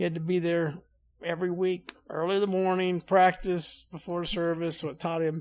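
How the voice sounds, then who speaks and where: Captured in a very clean recording with a silent background, a man with a Southern US accent speaks in a high voice with monotone, flat intonation. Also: moderate pace. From Louisiana. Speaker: Navy veteran and utility worker. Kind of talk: casual interview.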